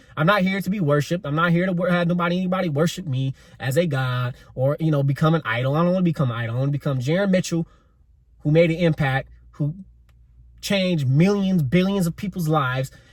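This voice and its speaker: At a very fast pace, a man talks with ordinary pitch variation and a fairly high voice. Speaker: podcast host. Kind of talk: solo podcast monologue. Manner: stumbles over words, slight stutter.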